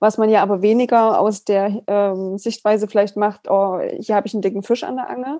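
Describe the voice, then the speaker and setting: At a moderate pace, a woman talks with a dark, mellow tone. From Saxony, Germany. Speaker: podcast host. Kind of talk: casual interview.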